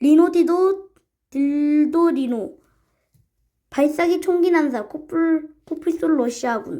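A woman speaks with an extremely high pitch and ordinary pitch variation. Her tone is dark and mellow. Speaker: YouTuber explaining internet meme characters. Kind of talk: reading aloud with casual commentary. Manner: halting, stumbling over words while reading.

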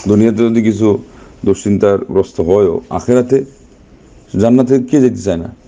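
A man's fairly low voice with a dark, mellow tone at a fairly quick pace

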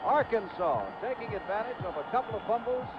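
An extremely high-pitched man's voice with lively intonation at a moderate pace, amid noticeable background noise. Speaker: play-by-play announcer. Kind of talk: 1970s TV sports play-by-play, live commentary on a college bowl game. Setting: stadium broadcast, TV commentary. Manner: steady, authoritative broadcaster cadence, reeling off names and numbers.

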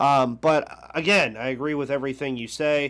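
A man is talking. His pace is moderate. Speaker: sports podcast host. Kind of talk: casual sports talk. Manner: upbeat. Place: home room. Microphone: headset.

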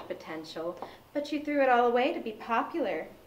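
With light background noise, a woman speaks at a fairly quick pace. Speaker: actor playing a villain. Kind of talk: scripted drama dialogue. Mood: mocking, menacing.

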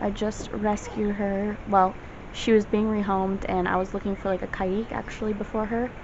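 A woman's monotone, flat delivery at a moderate pace amid noticeable background noise. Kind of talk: casual vlog chat. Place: home room. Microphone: phone near.

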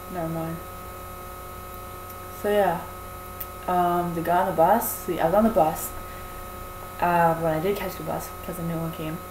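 A woman speaks at a fairly low pitch, with fairly even intonation and a fairly slow pace. Long, frequent pauses break up her speech, and background noise is clearly audible.

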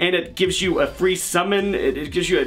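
A man talks at a high pitch. Faint music plays in the background. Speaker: card game content creator. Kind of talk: casual commentary.

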